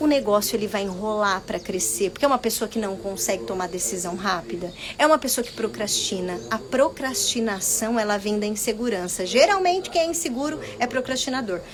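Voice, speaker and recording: A fairly high-pitched woman's voice, fairly quick and lively in intonation, over noticeable background noise. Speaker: business mentor. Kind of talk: live stream talk. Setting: Instagram live video.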